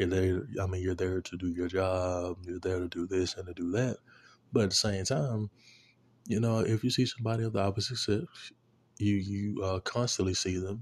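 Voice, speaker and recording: A man with a very deep, low pitch and a somewhat breathy voice speaks at a moderate pace with fairly even intonation against a quiet background. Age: 20s. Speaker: podcast host. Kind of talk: casual monologue. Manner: casual, filler-heavy.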